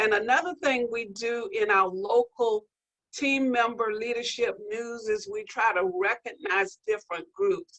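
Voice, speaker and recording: At a fairly slow pace, a woman with a normal speaking voice talks at a fairly high pitch with lively intonation. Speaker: healthcare diversity leader. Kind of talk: panel discussion.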